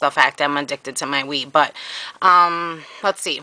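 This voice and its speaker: A normal speaking voice from a woman at a moderate tempo, with fairly low pitch. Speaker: vlogger. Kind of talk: casual video blog.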